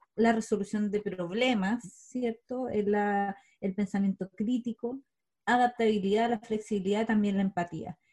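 A woman's fairly high, somewhat breathy voice, dark and mellow in tone, at a fairly slow pace with fairly even intonation. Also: dry, close sound with no echo. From southern Chile, Osorno. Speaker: coach and co-founder of a coaching company. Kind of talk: casual interview chat.

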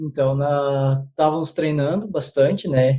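A man speaks in a somewhat breathy voice with a fairly high pitch. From Brazil. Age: 30s. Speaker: physical education teacher. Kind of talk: interview. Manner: halting.

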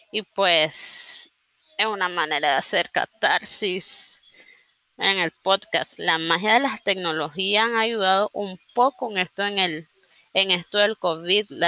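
Speaking at a very slow pace in a Nicaraguan accent, a woman has a medium pitch, ordinary pitch variation and a bright, sharp tone, recorded with a dry, close sound and no echo. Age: 30s. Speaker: journalist and podcaster. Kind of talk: casual monologue. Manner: improvised, hesitant.

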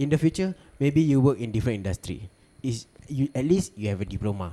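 Talking at a fairly quick pace, a man has an unremarkable speaking voice at a medium pitch with lively intonation. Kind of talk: casual chat. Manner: joking, playful.

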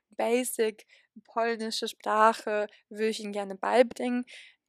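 Very clean and silent in the background, this recording catches a woman's fairly high voice in a dry, close sound with no echo. She speaks fairly slowly in a monotone, flat intonation. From western Germany, near Cologne/Aachen. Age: 20s. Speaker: university student. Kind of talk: interview.

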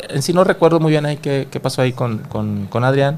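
Here is a plain, everyday voice with ordinary pitch variation. The pace is fairly quick. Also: man. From Monterrey, Mexico. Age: 40s. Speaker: dance instructor. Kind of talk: casual chat. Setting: studio.

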